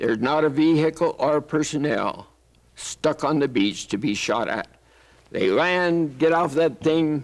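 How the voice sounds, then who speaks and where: A man with a Western US accent speaks fairly slowly in a fairly high voice, with a quiet background. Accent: American Western. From Arizona, USA. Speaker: WWII veteran, combat engineer. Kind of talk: interview answer.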